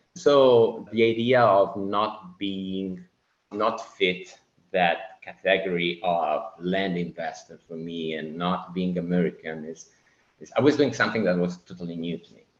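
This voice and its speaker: A man with an Italian accent speaks at a fairly slow pace in a very deep, low voice, his loudness swinging widely while his pitch varies in an ordinary way. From Italy. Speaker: Navy officer and land investor. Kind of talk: podcast interview. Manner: halting.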